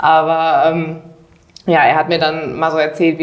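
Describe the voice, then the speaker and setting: A woman's very deep, low pitch against noticeable background noise. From Germany, Düsseldorf area. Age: young. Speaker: trainee and dual student. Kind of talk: interview.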